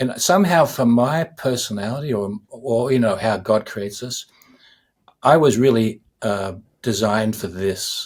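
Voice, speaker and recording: On a very clean recording with a silent background, a man with an Australian accent and medium pitch speaks at a fairly slow pace with ordinary pitch variation. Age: 60s. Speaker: musician. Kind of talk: interview. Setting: podcast interview.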